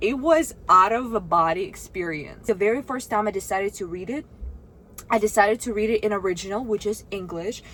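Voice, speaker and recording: A woman with a Russian accent and a fairly high voice speaks in an animated tone at a moderate pace. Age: 20s. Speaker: vlogger. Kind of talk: casual vlog talk to camera.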